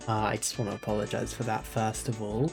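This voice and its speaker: Moderate pace with music in the background. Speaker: visual novel reader. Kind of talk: casual talk to camera.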